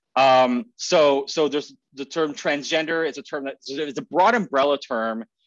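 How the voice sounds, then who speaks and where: There is a man speaking at a fairly high pitch with ordinary pitch variation. The sound is dry with no echo, against a quiet background. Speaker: economics researcher. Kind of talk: academic seminar talk. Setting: video call. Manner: fast talker. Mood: slightly nervous, friendly. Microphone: video call.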